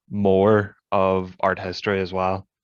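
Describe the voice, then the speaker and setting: Recorded dry with no echo over a quiet background, the speaker has a Northern Irish accent and a monotone, flat intonation. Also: man. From Northern Ireland. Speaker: exchange student; panelist. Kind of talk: panel discussion. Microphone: video call.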